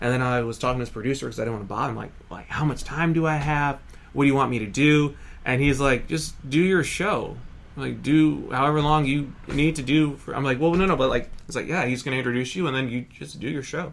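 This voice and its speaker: With an American accent, a man with a fairly high pitch talks at a very fast pace, and audible room echo surrounds his voice. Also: ordinary pitch variation. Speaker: hypnotist and entertainer. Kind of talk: casual chat. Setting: front porch.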